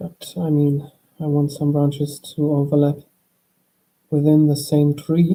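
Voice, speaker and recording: A soft-spoken voice broken up by long, frequent pauses. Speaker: drawing streamer. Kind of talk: drawing tutorial chat. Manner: calm, soft-spoken.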